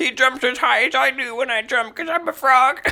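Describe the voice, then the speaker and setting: Pitched high, a female-sounding voice performs a put-on character voice at a fairly quick pace. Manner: comedic, silly.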